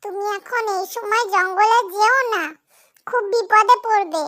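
A woman's squeaky, cartoonish character voice, extremely high in pitch, fairly slow and fairly even in intonation. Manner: warm, concerned.

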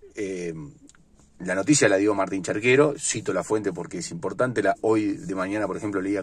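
A man with a Uruguayan accent speaks at a fairly quick pace. His pitch is fairly low, and the sound is dry with no echo. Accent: Uruguayan Rioplatense Spanish. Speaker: sports vlogger. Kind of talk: casual sports commentary monologue. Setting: in a car. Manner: halting, many fillers and repetitions. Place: car. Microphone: phone near.

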